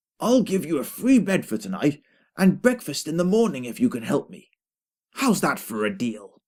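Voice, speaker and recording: A man puts on a croaky, high-pitched character voice at a moderate pace, with very wide swings in pitch and big swings in loudness. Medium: read story. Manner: polite, old-fashioned.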